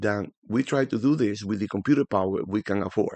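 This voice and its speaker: In a strong Spanish accent, the voice moves at a fairly quick pace with lively intonation, over a quiet background with a dry, close sound and no echo. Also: man. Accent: thick Spanish. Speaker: forex trading educator. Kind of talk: tutorial. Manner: casual, animated.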